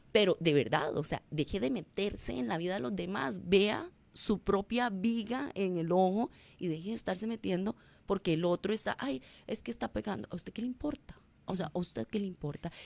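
In a dry recording with no echo, a woman speaks at a moderate pace with very wide pitch swings. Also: medium pitch for a woman. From Costa Rica. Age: 40s. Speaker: former teacher and public personality; former teacher. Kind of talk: radio interview. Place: studio. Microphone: studio mic.

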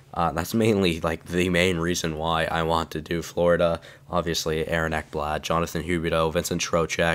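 The recording is very clean with a silent background. A man speaks at a moderate pace in a very deep, low pitch with monotone, flat intonation. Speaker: gaming YouTuber. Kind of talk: casual video narration to audience.

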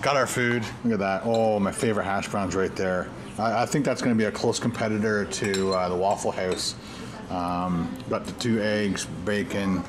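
There is noticeable background noise as a man speaks. His pitch is fairly low, his intonation fairly even and his pace moderate. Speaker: vlogger. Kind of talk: casual vlog chat. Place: cafe. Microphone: phone near.

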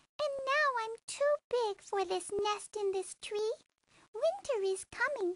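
An extremely high, squeaky put-on character voice. It moves at a fairly slow pace. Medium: read story. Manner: sweet, rhyming.

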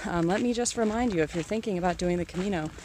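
Ordinary pitch variation runs through a woman's speech. There is light background noise and a dry sound with no echo. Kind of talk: casual vlog chat. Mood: reflective, grateful. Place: open country. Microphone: phone near.

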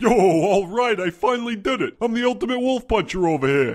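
A man's cartoonish character voice, high-pitched and at a fairly quick pace. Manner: boastful, slangy.

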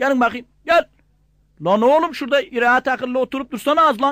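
On a very clean recording with a silent background and a dry, close sound with no echo, a man speaks at a moderate pace with ordinary pitch variation. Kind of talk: comic dialect joke telling.

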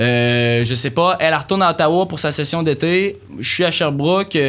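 A fairly high-pitched man at a fairly quick pace, with lively intonation. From Quebec. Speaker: university student; podcast guest. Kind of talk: casual chat. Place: studio. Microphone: studio mic.

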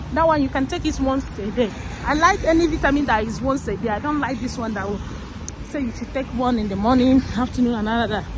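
A woman talks at a very fast pace in a high pitch, with ordinary pitch variation and an animated tone, in a dry recording with no echo but noticeable background noise. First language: not English. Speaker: vlogger. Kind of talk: casual vlog monologue. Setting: outdoors, walking. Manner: chatty, animated. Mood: animated, expressive. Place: street. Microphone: phone near.

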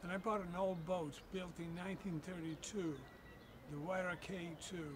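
With noticeable background noise behind him, a man speaks at a high pitch and a fairly slow pace, his intonation fairly even. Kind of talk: personal storytelling to camera. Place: waterside.

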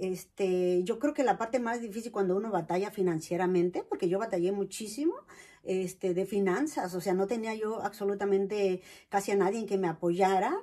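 A woman speaks at a moderate pace, her medium pitch rising and falling in an ordinary way. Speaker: vlogger; personal storyteller. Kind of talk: personal testimony. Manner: hesitant, many fillers. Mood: warm, smiling, reflective. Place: home room. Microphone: camera far.

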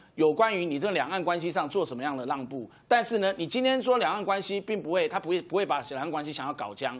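With hardly any pauses, a man races along at a very fast pace, his high pitch making very wide swings. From Taiwan. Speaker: political commentator. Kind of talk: TV political talk show panel. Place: studio.

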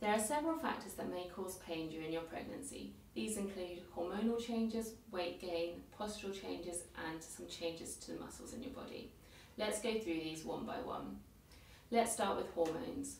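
Light background noise and audible room echo around a woman talking. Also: moderate pace. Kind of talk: educational presentation. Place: office. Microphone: camera far.

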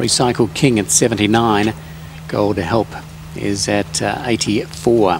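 Speaking very slowly at a fairly low pitch with ordinary pitch variation, a man is heard over noticeable background noise. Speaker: race caller. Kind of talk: live commentary. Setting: racecourse.

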